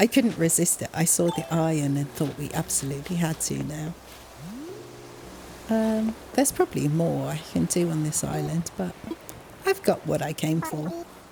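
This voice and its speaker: Over noticeable background noise, a woman talks at a fairly slow pace in a relaxed tone. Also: long, frequent pauses. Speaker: gaming youtuber. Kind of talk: casual gameplay chat. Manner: relaxed, slow-paced.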